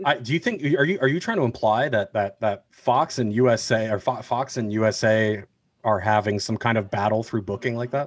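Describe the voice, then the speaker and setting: A man with an American accent and a medium pitch talks at a fairly quick pace with ordinary pitch variation, in a plain, everyday voice. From New Jersey. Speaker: podcast guest, wrestling fan. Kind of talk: casual chat.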